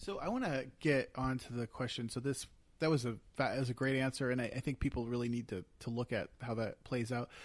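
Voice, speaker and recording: An ordinary speaking voice with an American accent moves at a fairly quick pace with fairly even intonation. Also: man, medium pitch for a man. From Eastern Pennsylvania, US. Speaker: podcast co-host and producer. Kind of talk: casual chat. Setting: living room.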